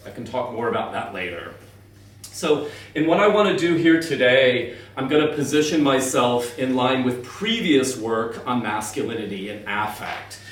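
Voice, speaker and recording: A man with an American accent speaks at a medium pitch, his intonation lively. Audible room echo and noticeable background noise surround him. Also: moderate pace. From US Midwest (Columbus, Ohio). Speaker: professor. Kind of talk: lecture.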